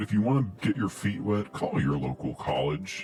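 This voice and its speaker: In a put-on character voice, someone speaks at a moderate pace. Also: man. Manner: put-on, conspiratorial.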